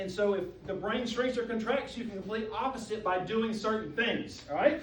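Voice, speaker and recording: Amid noticeable background noise and audible room echo, a man with a high pitch speaks in an animated tone at a fairly quick pace, with ordinary pitch variation. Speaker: chiropractor leading a health workshop. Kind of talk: health workshop talk. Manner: fast; animated, conversational.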